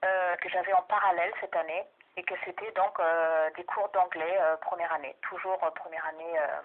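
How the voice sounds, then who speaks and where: A woman with a fairly low pitch talks in monotone, flat intonation. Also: moderate pace. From Germany. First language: German (speaking French). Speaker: doctoral researcher and language teacher. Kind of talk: research interview. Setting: phone call. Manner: hesitant, many fillers.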